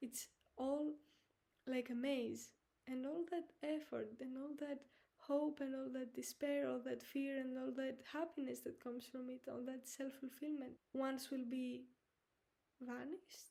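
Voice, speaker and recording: A woman with a high pitch and a dark, mellow tone speaks at a fairly slow pace in a monotone, flat intonation. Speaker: podcast host; artist. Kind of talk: solo reflective monologue.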